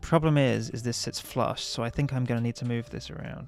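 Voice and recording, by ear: A man rattles off his words at a very fast pace while music plays in the background.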